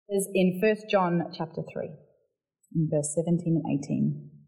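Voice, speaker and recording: A woman speaks with a South Australian accent. Her pitch is fairly low, with ordinary pitch variation. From Barossa Valley, South Australia. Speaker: charity worker giving a church talk. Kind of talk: sermon-style church talk. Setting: church.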